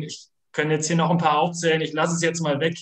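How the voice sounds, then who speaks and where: Against a quiet background, a man is heard with audible room echo. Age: 20s. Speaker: sports club director; guest. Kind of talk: online panel discussion. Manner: halting. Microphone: video call.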